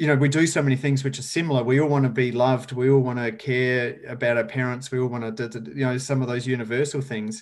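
Speaking fairly quickly in an Australian accent, a man keeps a medium pitch and fairly even intonation. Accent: Australian, noticeable. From rural South Australia. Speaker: sustainability educator and speaker. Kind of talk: casual interview.

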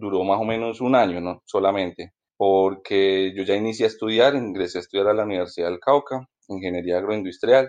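A man with a plain, everyday voice talks at a fairly low pitch. His pace is fairly quick and his intonation fairly even. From Colombia, Ibagué (Tolima). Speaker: coffee grower. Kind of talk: interview.

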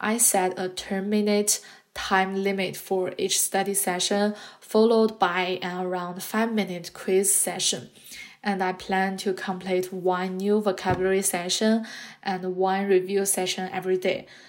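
A woman with a Chinese accent speaks at a fairly slow pace. Her pitch is medium and her intonation monotone and flat. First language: Mandarin Chinese. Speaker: podcast host, graduate student. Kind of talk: scripted monologue.

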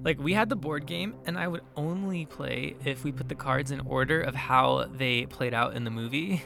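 With music in the background, a man at medium pitch talks at a moderate pace with lively intonation and hardly any pauses. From San Bernardino, California. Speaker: podcast host and storyteller. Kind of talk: ghost story telling, first-person spooky narration. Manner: suspenseful, hushed and dramatic; animated, conversational, recounting in present tense.

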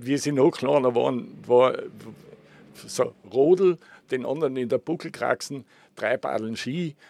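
A man with a Tyrolean accent speaks in a dark, mellow tone with ordinary pitch variation. He goes at a fairly slow pace with long, frequent pauses, and the sound is dry and close with no echo. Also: medium pitch for a man. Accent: Tyrolean Austrian German. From Tyrol, Austria (Innsbruck). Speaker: tourism consultant. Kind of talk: interview. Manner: repetitive, halting restarts.

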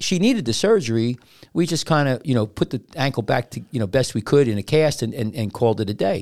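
On a very clean recording with a silent background, a man with a medium pitch speaks in a normal speaking voice at a fairly quick pace with lively intonation. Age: 60s. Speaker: surgeon and podcast host. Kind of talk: casual chat. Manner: rambling, frequently interrupts.

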